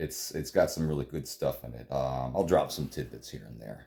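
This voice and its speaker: With an American accent, a man speaks at a very deep, low pitch in a dark, mellow tone with vocal fry. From Florida, US (Clearwater area). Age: 40s. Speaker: movie commentary youtuber. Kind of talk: movie commentary, casual monologue. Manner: casual, many fillers and hesitations.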